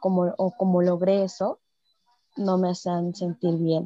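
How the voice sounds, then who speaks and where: The woman's tone is dark and mellow at a medium pitch, and the sound is dry and close with no echo. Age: 20s. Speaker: podcast listener sharing weight-loss experience. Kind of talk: casual interview conversation.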